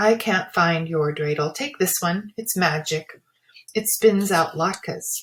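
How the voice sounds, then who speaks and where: Delivered at a fairly slow pace, this gruff voice is a put-on character voice. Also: female-sounding voice, medium pitch for a woman. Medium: read story. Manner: gruff, muttering.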